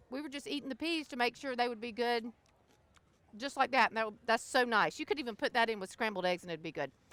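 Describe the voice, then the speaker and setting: A woman speaks very fast with a high pitch and a Southern US accent, her intonation lively. The tone is bright and sharp, and the sound is dry and close with no echo. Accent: Southern US (Georgia). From US South, South Georgia. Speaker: cookbook author. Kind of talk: cooking demonstration. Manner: casual, chatty.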